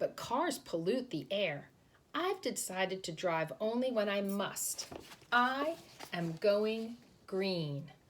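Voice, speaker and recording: Using a put-on character voice, a woman speaks at a fairly slow pace and a medium pitch. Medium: read story. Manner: warm, encouraging.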